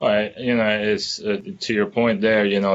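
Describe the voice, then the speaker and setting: The speaker is a man with a Spanish accent. His fairly low voice holds monotone, flat intonation. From Dominican Republic. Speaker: tech company employee on diversity panel. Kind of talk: panel discussion.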